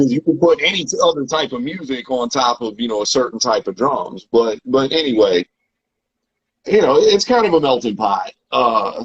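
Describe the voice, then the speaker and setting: Lively intonation from a man of medium pitch, speaking with a Southern US accent at a moderate pace. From US South, Tennessee. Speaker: rapper and producer. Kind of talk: interview.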